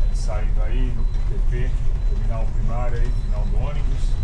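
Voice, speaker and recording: Fairly slow speech over loud background noise. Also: man. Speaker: bus driver vlogger. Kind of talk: casual vlog chat. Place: bus. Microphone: camera far.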